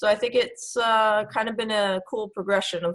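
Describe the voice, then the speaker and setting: Over a quiet background, a woman speaks at a moderate pace in a fairly high, somewhat breathy voice with flat, monotone intonation. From New York City. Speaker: esports coach. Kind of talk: interview.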